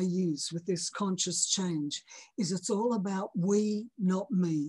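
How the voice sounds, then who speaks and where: A woman speaks very slowly. Her voice is somewhat breathy. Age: 70s. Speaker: moral philosopher, author. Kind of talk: interview. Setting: podcast. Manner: halting.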